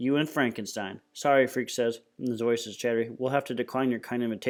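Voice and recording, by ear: The intonation holds fairly even. Text is read aloud in a natural voice.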